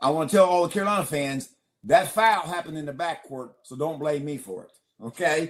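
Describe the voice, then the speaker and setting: At a moderate pace, a man talks in a normal speaking voice with a fairly high pitch. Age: 60s. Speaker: retired college basketball referee. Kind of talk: podcast interview.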